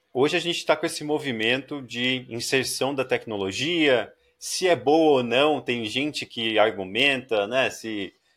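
At a fairly slow pace and hardly any pauses, a man speaks at a medium pitch with ordinary pitch variation, in a very clean recording with a silent background. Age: 30s. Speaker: podcast host. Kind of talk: casual interview. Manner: talkative.

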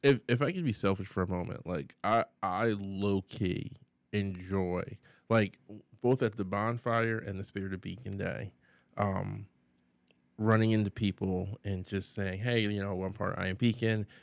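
A man with a normal speaking voice talks at a moderate pace, his fairly low pitch held in a fairly even intonation. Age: 30s. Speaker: community podcast co-host. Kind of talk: casual chat.

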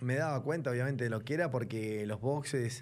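There is audible echo from the room. Through it, a man speaks fairly quickly. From Buenos Aires, Argentina. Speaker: racing driver. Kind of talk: casual interview.

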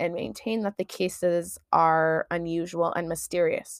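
A strong Midwestern accent, in a very clean recording with a silent background. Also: woman, dry, close sound with no echo. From US Midwest. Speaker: podcast co-host. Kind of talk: casual chat.

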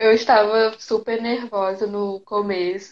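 The woman speaks at a fairly high pitch. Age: 20s. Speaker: guest, makeup artist and photographer. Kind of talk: casual live chat. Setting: live video stream. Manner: shy.

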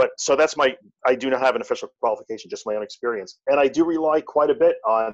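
A man talks at a fairly quick pace against a quiet background, the sound dry and close with no echo. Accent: Long Island. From Long Island, New York. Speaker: anxiety podcaster and tech business owner. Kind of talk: interview conversation.

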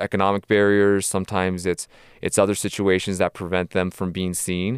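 On a very clean, dry, close recording with a silent background and no echo, a man with an American accent speaks at a fairly quick pace in a very deep, low pitch with monotone, flat intonation. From Tijuana, Mexico and Southern California. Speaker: sports business consultant. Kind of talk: podcast interview.

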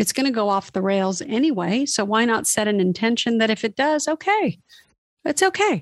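The sound is dry and close, with no echo. A woman with a normal speaking voice talks at a moderate pace and fairly high pitch, with ordinary pitch variation. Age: 50s. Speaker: former magazine model, self-help blogger. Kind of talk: casual interview.

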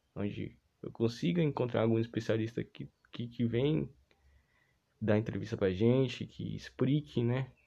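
A man with a dark, mellow tone speaks at a fairly slow pace with ordinary pitch variation and long, frequent pauses. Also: medium pitch for a man. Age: 20s. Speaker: student podcast host. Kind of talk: casual solo podcast monologue.

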